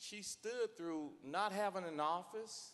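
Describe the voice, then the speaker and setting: This man speaks in an East Tennessee accent. His pitch is high, with ordinary pitch variation. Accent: East Tennessee Southern US. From East Tennessee, Knox County. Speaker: state legislator. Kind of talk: floor speech. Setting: legislative chamber. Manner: halting, repeats words.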